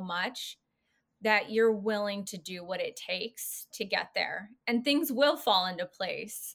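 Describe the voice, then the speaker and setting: In a very clean recording with a silent background, a woman with an ordinary speaking voice talks at a fairly slow pace in a medium pitch. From California. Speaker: podcast host. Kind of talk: interview, casual chat.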